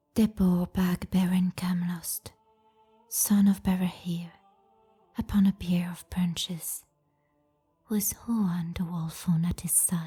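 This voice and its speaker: A woman's fairly low, monotone, flat voice at a very slow pace with long, frequent pauses and music in the background. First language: French. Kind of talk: fantasy book reading.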